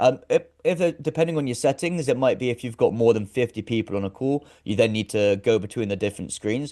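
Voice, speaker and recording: This man's tone is dark and mellow, and he talks very fast. The sound is dry and close, with no echo. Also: medium pitch for a man, ordinary pitch variation. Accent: British. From UK. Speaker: actor, director and presenter. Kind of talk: casual interview chat.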